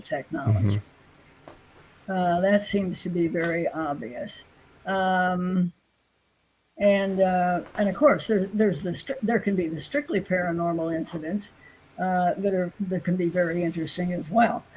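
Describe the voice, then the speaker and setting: Somewhat breathy and fairly slow, a woman of medium pitch speaks with ordinary pitch variation and long, frequent pauses. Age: 80s+. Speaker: UFO investigator. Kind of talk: interview answer.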